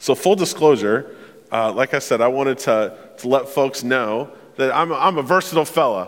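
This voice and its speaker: The clip features a man with a normal speaking voice. He talks at a moderate pace and a medium pitch. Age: 30s. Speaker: pastor. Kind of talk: sermon. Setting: church.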